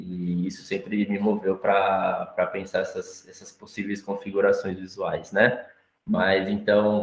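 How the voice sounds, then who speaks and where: A man talks at a fairly slow pace. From Brazil, São Paulo. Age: 20s. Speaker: visual artist. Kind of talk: panel talk presenting own work. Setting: live-streamed gallery talk. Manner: halting, many repetitions and fillers.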